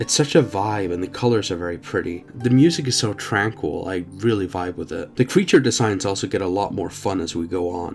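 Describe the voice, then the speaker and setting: Over music in the background, a man with a fairly low pitch speaks with lively intonation. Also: fairly quick pace, hardly any pauses. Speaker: game reviewer. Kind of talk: video game review narration.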